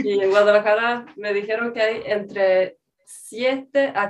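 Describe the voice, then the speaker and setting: Speaking very slowly with a Swedish accent, a woman uses a fairly high pitch and fairly even intonation. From rural Sweden. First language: Swedish (speaking Spanish). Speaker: language learning content creator. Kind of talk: casual interview chat.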